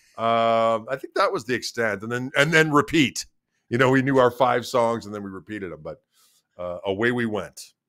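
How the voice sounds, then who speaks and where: In an Upper Midwest accent, a man speaks at medium pitch with ordinary pitch variation, a bright, sharp tone and big swings in loudness, on a very clean recording with a silent background. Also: moderate pace. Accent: Upper Midwest American. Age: 50s. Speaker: guitarist. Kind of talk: casual interview chat.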